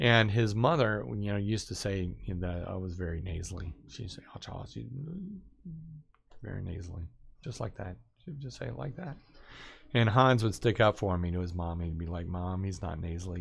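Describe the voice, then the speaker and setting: A man talks in a somewhat breathy voice, moving at a fairly quick pace. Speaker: live streamer. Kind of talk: casual livestream talk. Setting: live stream. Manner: rambling with many fillers.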